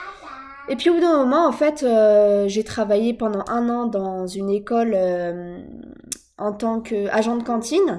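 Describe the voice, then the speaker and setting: A woman's fairly high pitch at a fairly slow pace. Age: 20s. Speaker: vlogger, young mother. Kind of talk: personal vlog monologue. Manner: hesitant, many fillers.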